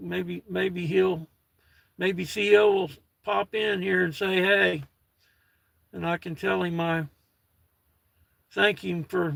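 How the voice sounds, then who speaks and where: Using long, frequent pauses, a man speaks at a very slow pace with a high pitch and fairly even intonation. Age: 60s. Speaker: retired livestreamer. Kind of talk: casual chat. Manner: halting.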